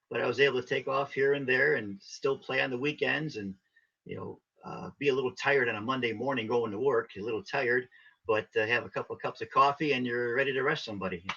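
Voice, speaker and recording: Delivery is very fast, with a bright, sharp tone. The voice has an American accent and ordinary pitch variation. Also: man, medium pitch for a man. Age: 60s. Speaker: polka musician. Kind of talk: casual interview.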